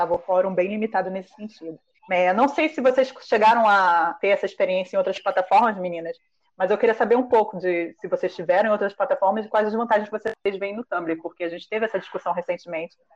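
Speaking very fast, a woman fills the clip. She holds a medium pitch. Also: ordinary pitch variation. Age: 20s. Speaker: podcast host. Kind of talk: casual chat.

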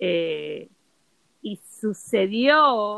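The speaker is a woman. Her voice is medium in pitch. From Puerto Rico. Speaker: yoga and holistic wellness instructor. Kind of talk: casual chat.

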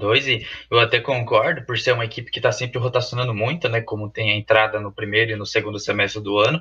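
A man talks at a very fast pace. His voice is at a medium pitch. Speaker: university cheerleading team member. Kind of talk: casual chat.

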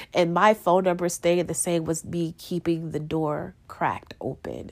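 The recording is very clean with a silent background, and a woman speaks at a fairly slow pace. She has an unremarkable speaking voice with a fairly low pitch. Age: 20s. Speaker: podcast host. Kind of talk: personal monologue.

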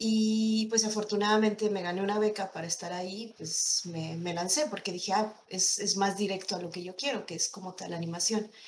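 With hardly any pauses, a woman talks at a moderate pace in a plain, everyday voice, medium in pitch and fairly even in intonation. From State of Mexico. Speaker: animator. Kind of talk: interview.

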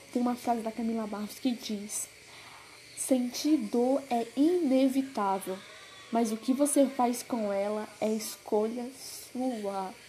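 A woman speaks at a very slow pace in a high voice. Her pitch varies in an ordinary way. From Brazil, Pará. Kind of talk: devotional message.

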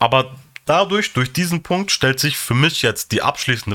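Bright and sharp in tone, a man talks at a fairly quick pace with lively intonation and an animated tone. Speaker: podcast host. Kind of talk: casual chat.

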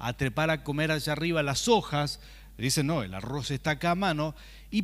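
A man with a Rioplatense accent speaks at a moderate pace. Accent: Argentine Rioplatense Spanish (voseo). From Argentina, Rafaela, Santa Fe. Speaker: pastor. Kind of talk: sermon.

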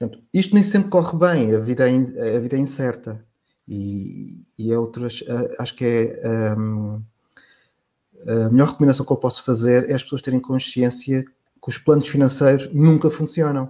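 This man's tone is dark and mellow, with medium pitch. He speaks at a moderate pace with ordinary pitch variation. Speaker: financial journalist. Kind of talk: casual interview conversation.

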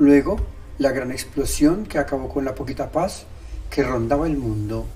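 Moderate pace and medium pitch from a man, with noticeable background noise behind him. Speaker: podcaster. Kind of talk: scripted narration.

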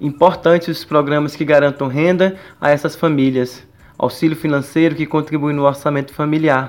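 A man speaks at a moderate pace with a fairly high pitch. His intonation is flat and monotone. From Brazil, Pará (Castanhal). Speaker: university student, student union member. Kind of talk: radio interview.

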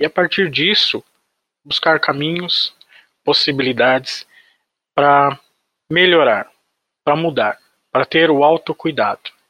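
With long, frequent pauses and a fairly slow pace, a man talks in a fairly high pitch and a bright, sharp tone, his loudness very even and the sound dry and close with no echo. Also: ordinary pitch variation. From Brazilian interior. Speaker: psychologist. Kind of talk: podcast interview.

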